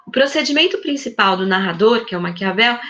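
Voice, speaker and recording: A woman speaks fairly quickly in a raised, projected voice. Her tone is bright and sharp. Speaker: high school teacher. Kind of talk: online class lecture. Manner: fast.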